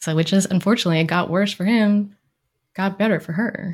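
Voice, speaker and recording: With ordinary pitch variation, a woman talks in a voice that is somewhat breathy. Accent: American. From Maryland, US. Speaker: clinical social worker and therapist. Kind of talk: interview conversation.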